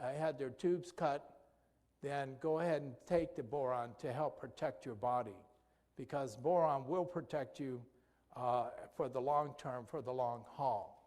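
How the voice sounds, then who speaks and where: A man with a fairly high pitch talks at a moderate pace, using ordinary pitch variation. He leaves long, frequent pauses, and there is audible room echo. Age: 60s. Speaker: physician giving health presentation. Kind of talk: lecture. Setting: church presentation. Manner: halting.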